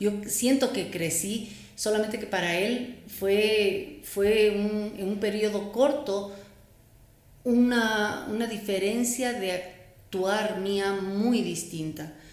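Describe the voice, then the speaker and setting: The speech comes at a very slow pace with fairly even intonation, set against noticeable background noise and audible room echo. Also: woman, medium pitch for a woman. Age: 60s. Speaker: psychotherapist and entrepreneur. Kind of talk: interview.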